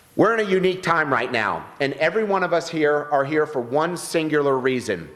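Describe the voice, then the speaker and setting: Noticeable noise sits in the background. Pitch varies in an ordinary way. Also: man. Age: 50s. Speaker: political candidate. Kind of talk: campaign speech. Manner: formal.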